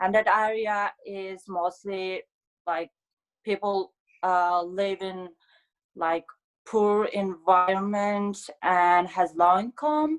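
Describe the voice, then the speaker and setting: A very slow delivery with long, frequent pauses, ordinary pitch variation, and a dry, close sound with no echo. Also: woman, medium pitch for a woman. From Mongolia, Ulaanbaatar. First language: Mongolian. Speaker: graduate student, scholarship recipient. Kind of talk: interview.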